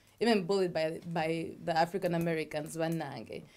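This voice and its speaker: A woman talks with fairly even intonation. Her pitch sits fairly low. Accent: Ugandan. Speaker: talk show co-host. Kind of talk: casual chat.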